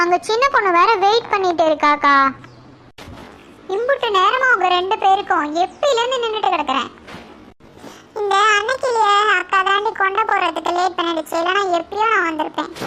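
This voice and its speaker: Using a cartoonish character voice, a female-sounding speaker goes at a fairly slow pace with an extremely high pitch for a woman. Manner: complaining, colloquial.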